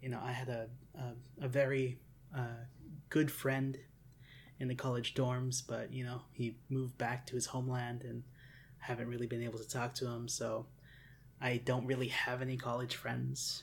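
A man at medium pitch speaks at a moderate pace in a somewhat breathy voice. His intonation is monotone and flat, broken by long, frequent pauses. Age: 20s. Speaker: podcast host. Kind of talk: casual chat.

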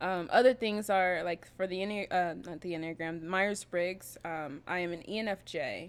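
A woman with an American accent at medium pitch, fairly even intonation, moderate pace and hardly any pauses, on a very clean recording with a silent background. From US West Coast, Bay Area (Berkeley). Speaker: scrum master. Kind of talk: casual chat.

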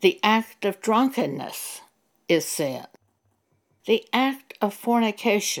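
The speaker uses an American accent and lively intonation at a very slow pace. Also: woman. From US Southwest, eastern New Mexico. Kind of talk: testimony.

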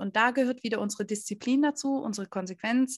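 In a normal speaking voice, a woman talks at a moderate pace with a fairly high pitch and ordinary pitch variation, on a very clean recording with a silent background. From Stuttgart, southwestern Germany. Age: 20s. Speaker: dog trainer and behaviour consultant. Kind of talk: interview.

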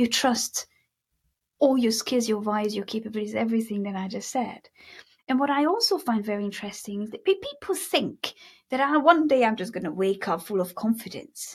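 The voice is somewhat breathy, with lively intonation. It moves at a fairly quick pace. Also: woman, fairly high pitch for a woman. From Hungary. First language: Hungarian. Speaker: mindset coach and hypnotherapist. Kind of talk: interview conversation. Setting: video call.

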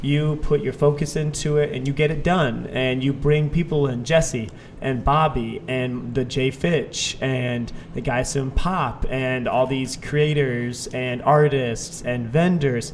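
With noticeable background noise, a man in an American accent speaks at a very slow pace with hardly any pauses, medium pitch and fairly even intonation. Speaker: podcast host. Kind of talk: casual interview chat.

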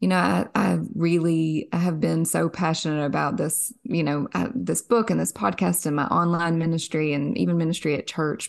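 Against a quiet background, a woman with a Kentucky accent speaks at a moderate pace in a very deep, low pitch with lively intonation. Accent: Southern US (Kentucky). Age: 30s. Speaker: author and podcaster. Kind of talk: faith interview.

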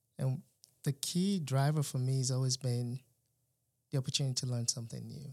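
A man's somewhat breathy, dark, mellow voice at medium pitch, at a fairly quick pace with long, frequent pauses and fairly even intonation, in a very clean recording over a silent background. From Nigeria. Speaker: engineer turned business student. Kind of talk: casual interview.

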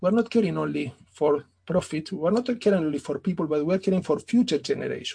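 Speaking at a fairly quick pace with hardly any pauses, a man uses a high pitch, a dark, mellow tone and ordinary pitch variation. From Italy / Argentina. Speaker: business author. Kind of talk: interview. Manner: formal.

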